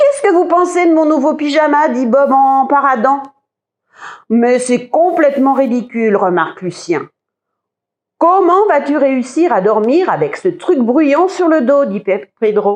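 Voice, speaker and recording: Her high voice swings very widely in pitch while the loudness stays very even, and the woman talks at a fairly slow pace with long, frequent pauses. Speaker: librarian. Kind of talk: children's story reading.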